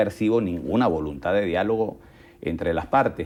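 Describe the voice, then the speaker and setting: A man speaks with lively intonation. He has an ordinary speaking voice. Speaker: think tank director. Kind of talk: interview.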